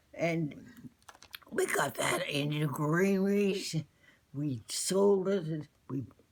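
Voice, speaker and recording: A woman's fairly low voice with lively intonation, very slow pace and long, frequent pauses, over noticeable background noise. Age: 80s+. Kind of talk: interview answer. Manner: hesitant, slow.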